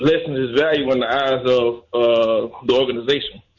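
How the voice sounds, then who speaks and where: This is a normal speaking voice. Its pace is moderate. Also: man. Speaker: caller. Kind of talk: casual sports talk call-in. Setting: phone call.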